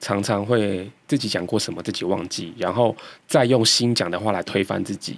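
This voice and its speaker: A man with a fairly low pitch talks at a moderate pace in a normal speaking voice with ordinary pitch variation. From Taiwan, Kaohsiung. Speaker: podcast host. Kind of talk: casual interview chat; scripted intro.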